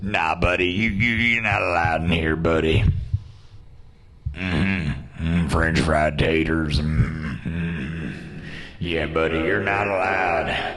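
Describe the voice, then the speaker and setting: A man's very deep, low put-on character voice, fairly slow, with slight echo. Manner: gruff, dismissive.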